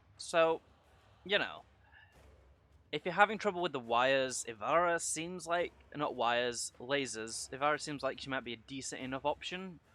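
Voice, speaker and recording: Speaking at a moderate pace, a man has a fairly high pitch, a bright, sharp tone and ordinary pitch variation. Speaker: gaming youtuber. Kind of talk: unscripted gameplay commentary. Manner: halting.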